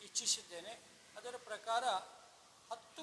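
Raised and projected, a man's voice rings out at a high pitch. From Solapur district, Maharashtra-Karnataka border (Akkalkot). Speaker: retired chemistry lecturer, event organizer. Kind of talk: event announcement interview.

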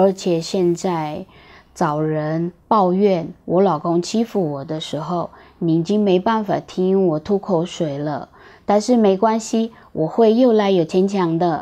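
A woman's very slow speech, fairly low in pitch with ordinary pitch variation and a dark, mellow tone. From Brazil, moved to Taiwan at 11. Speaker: video creator telling her life story. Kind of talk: scripted narration. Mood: warm, reflective, lightly humorous. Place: home room.

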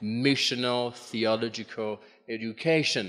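A man talking at a very slow pace, with ordinary pitch variation. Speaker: conference presenter. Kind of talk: lecture. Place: hall. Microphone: podium.

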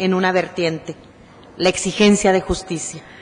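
The woman's delivery keeps a moderate pace. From Mexico. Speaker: human rights activist; guest. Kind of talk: acceptance speech. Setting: city council chamber. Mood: earnest, grateful, serious. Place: hall. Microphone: podium.

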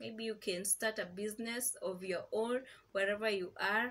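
Fairly slow speech from a woman. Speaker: vlogger. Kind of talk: casual vlog chat. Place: home room. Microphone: camera far.

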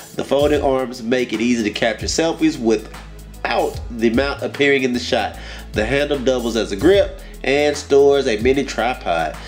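Music sits faintly behind the voice. A man speaks at a moderate speed. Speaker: gadget reviewer. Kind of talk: unboxing commentary. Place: home room. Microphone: camera far.

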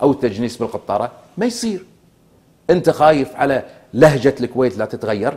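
Speaking at a moderate pace in a Kuwaiti accent, a man with a dark, mellow tone uses lively intonation. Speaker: former member of parliament; guest. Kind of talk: political TV interview. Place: studio. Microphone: lapel.

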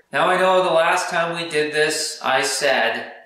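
A man's voice with audible room echo. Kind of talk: casual workshop vlog commentary. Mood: upbeat, a bit rushed. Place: garage. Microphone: camera far.

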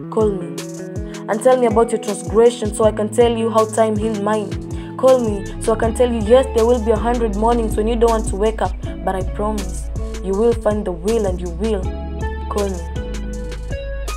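Music in the background behind a woman speaking at a moderate pace. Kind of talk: spoken word poetry.

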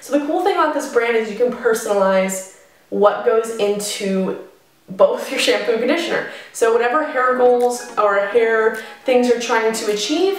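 With a high pitch and audible room echo, a woman speaks at a moderate pace. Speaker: beauty vlogger. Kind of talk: casual vlog chat.

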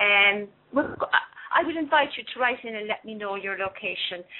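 This is a plain, everyday voice delivered at a moderate pace. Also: woman. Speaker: co-host relaying chat questions. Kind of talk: casual chat.

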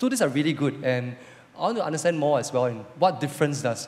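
There is light background noise. A man talks at a fairly quick pace. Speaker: church host. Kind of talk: church service talk. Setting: church. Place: stage. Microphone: handheld.

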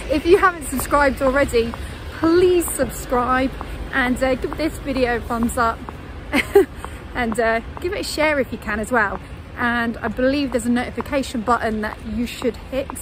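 A woman's high-pitched voice at a moderate pace, dry with no echo, over noticeable background noise. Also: ordinary pitch variation. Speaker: travel vlogger. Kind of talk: casual vlog chat. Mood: cheerful, laughing. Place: street.

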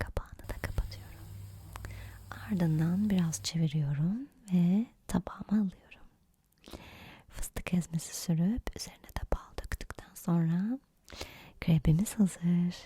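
A soft-spoken woman talks at a fairly slow pace with long, frequent pauses. Her fairly low voice has a dark, mellow tone and is somewhat breathy. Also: ordinary pitch variation. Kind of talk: ASMR cooking recipe narration.

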